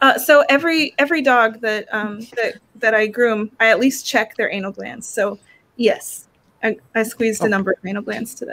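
A woman with an ordinary speaking voice, fairly high in pitch, with ordinary pitch variation, a moderate pace and big swings in loudness. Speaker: dog groomer; guest. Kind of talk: casual chat. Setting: video call. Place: home room.

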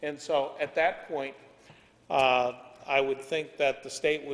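A fairly high-pitched male voice. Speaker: applicant representative. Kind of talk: formal presentation to a board. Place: meeting room. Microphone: camera far.

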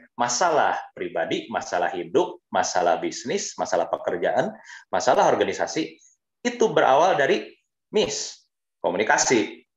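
A man speaks at a fairly slow pace in a quiet background with audible room echo. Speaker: HR and communication advisor; webinar speaker. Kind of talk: webinar talk. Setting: video call. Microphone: headset.

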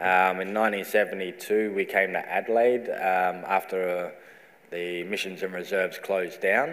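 A man's very deep, low voice, very slow and fairly even in intonation. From South Australia. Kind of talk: welcome to country speech. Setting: stage with audience. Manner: humorous. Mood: calm, reflective, sincere. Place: hall. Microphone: lapel.

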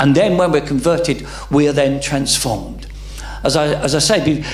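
A man speaks with an English accent, and audible room echo surrounds his voice. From England. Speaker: pastor. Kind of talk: sermon. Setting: church. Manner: halting, many repeated words and fillers. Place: church. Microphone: handheld.

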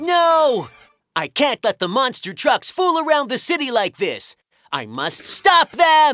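A cartoonish character voice, high in pitch, at a fairly slow pace. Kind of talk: children's cartoon acting. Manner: earnest, determined.

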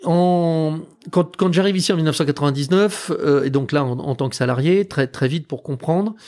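The speaker is a man with a fairly high pitch. He talks at a fairly slow pace with ordinary pitch variation. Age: 50s. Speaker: caviar producer. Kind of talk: interview conversation. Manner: hesitant, many fillers.

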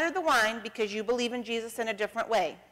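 A woman with an American accent speaks with lively intonation. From northeastern Ohio, US. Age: 40s. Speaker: church member giving communion meditation; speaker. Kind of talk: personal testimony; sermon. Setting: church. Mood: calm, reflective. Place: church.

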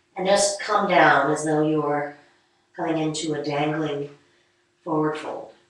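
Against a quiet background with strong room echo, a woman with a very deep, low voice speaks at a fairly slow pace with fairly even intonation and long, frequent pauses. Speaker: yoga teacher. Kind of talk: guided yoga class, calm instructional cueing. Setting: studio, live online stream. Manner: calm, unhurried, soothing; instructive, gently paced, with pauses. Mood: calm, soothing. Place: home room. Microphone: camera far.

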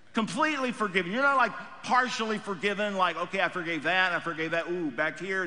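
This man talks with a raised, projected voice. His speech has lively intonation. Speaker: pastor. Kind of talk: sermon. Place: church. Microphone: headset.

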